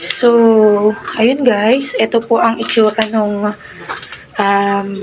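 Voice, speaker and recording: The pace is very slow and the intonation fairly even. Noticeable background noise runs underneath. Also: woman. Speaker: paranormal explorer vlogger. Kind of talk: walkthrough vlog narration.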